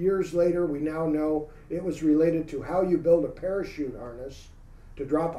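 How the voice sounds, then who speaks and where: A man's fairly high voice with a dark, mellow tone, ordinary pitch variation, moderate pace and audible room echo. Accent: American. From San Francisco Bay Area, California. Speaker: UFO researcher, former military policeman. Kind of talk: interview, storytelling.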